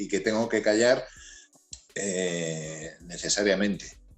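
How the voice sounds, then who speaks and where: A man is speaking. Music plays in the background. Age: 60s. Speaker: music manager. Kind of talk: interview.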